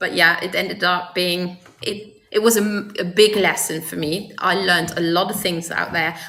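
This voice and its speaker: Over noticeable background noise, the speaker keeps a flat monotone at a moderate pace with hardly any pauses. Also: woman, medium pitch for a woman. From Luxembourg. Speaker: person in recovery. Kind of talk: interview.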